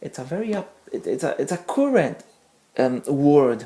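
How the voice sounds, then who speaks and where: This woman speaks with a non-native accent. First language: not English. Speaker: religious community member. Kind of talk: testimony talk. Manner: halting, many fillers.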